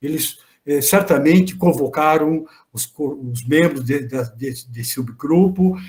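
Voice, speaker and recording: The speaker, a man, goes at a fairly slow pace. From Brazil, Santa Catarina. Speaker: law professor and research group coordinator. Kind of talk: closing remarks in an online academic meeting. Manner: halting, with many repetitions and false starts; warm, animated praise.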